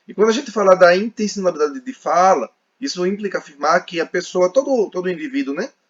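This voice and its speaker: A high-pitched man talks at a very fast pace with lively intonation. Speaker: sign language teacher. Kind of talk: podcast interview.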